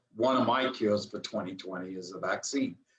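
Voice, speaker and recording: This man has an unremarkable speaking voice at a medium pitch. He moves at a fairly quick pace with fairly even intonation. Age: 60s. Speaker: real estate broker and podcast co-host. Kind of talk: casual chat.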